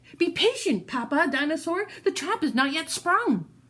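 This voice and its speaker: Speaking at a moderate pace, a woman puts on a character voice at an extremely high pitch. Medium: read story.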